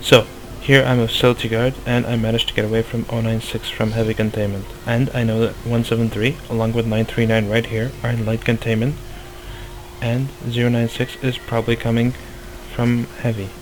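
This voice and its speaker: The voice runs at a fairly quick pace in a flat monotone. Noticeable background noise sits behind it. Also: man, medium pitch for a man. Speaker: gaming youtuber. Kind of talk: tutorial.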